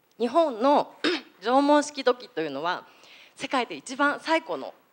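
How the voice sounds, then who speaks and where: The woman's pitch swings very widely. She keeps to a moderate pace. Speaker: potter; panelist. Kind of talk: audience question. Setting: stage with audience. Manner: formal. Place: hall.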